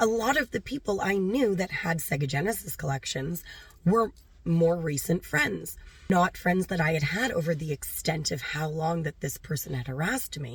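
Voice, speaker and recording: A woman's somewhat breathy, fairly low-pitched voice with lively intonation at a moderate pace. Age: 40s. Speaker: animal rescue volunteer. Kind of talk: personal story told to camera.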